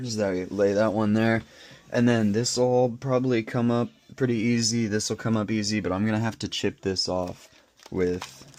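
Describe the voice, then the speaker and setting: A man speaks at a moderate pace with a medium pitch. His intonation is fairly even. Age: young. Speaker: hobbyist device repairer. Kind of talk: tutorial. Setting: workbench at home, recorded on camera glasses. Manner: halting.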